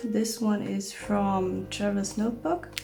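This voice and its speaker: The room echo is audible here. Within it, a woman talks at a fairly high pitch. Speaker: journaling vlogger. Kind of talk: product show-and-tell.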